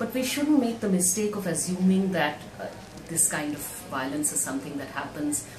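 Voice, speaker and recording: A woman with a very deep, low pitch speaks at a moderate pace with lively intonation amid noticeable background noise. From India. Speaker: women's rights activist. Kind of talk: recorded video speech. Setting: video message. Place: home room. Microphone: camera far.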